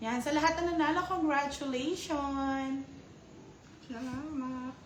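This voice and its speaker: A woman speaks loudly in a high pitch at a very slow pace, with fairly even intonation. Audible room echo and noticeable background noise fill the recording. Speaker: livestream host of card games. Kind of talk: casual livestream chat with winner announcements.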